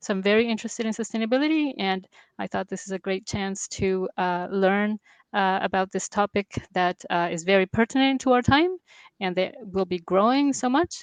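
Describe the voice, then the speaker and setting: A woman speaks with a Latin American accent at a moderate pace, her pitch medium and its variation ordinary. The sound is dry and close with no echo, over a quiet background. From Venezuela and Colombia. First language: Spanish. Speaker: geophysicist. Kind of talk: interview. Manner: hesitant.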